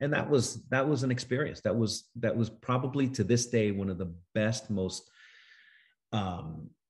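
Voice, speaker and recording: With an American accent, a man speaks at a moderate pace in a somewhat breathy voice with ordinary pitch variation over a quiet background. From New York City. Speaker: actor. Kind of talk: interview. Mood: thoughtful, warm. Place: home room. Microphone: video call.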